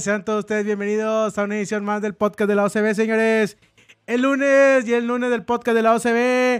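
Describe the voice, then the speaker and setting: At a moderate pace, a man with a high pitch speaks in a monotone, flat intonation. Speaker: football podcast host. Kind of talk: casual chat.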